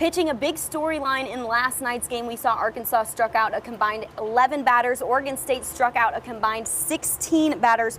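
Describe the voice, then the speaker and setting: A woman's high, upbeat, energetic voice at a fairly quick pace with hardly any pauses, ordinary pitch variation and noticeable background noise. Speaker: sports reporter / host. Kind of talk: sports broadcast reporting.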